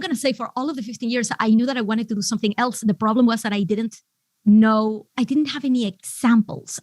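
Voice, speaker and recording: The speaker has a Venezuelan accent and ordinary pitch variation. The sound is dry and close, with no echo. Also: woman. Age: 40s. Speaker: business coach. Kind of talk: podcast interview.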